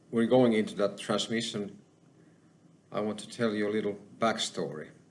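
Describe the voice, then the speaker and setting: With a Finnish accent, a man speaks at a moderate pace and a medium pitch. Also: long, frequent pauses, big swings in loudness. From Finland. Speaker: spiritual channeler / YouTuber. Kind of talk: personal testimony monologue. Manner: halting.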